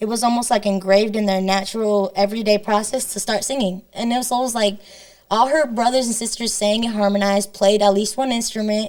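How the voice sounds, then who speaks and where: Speaking very fast with a Spanish accent, a woman uses a fairly high pitch and a flat, monotone delivery. Noticeable background noise runs under her voice. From northern Illinois, Rockford. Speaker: singer-songwriter. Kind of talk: interview conversation.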